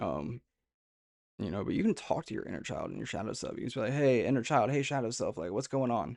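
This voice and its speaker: A man talks at a very fast pace, medium in pitch with lively intonation. Vocal fry runs through his voice. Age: 30s. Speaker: spiritual content creator. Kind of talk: monologue to camera.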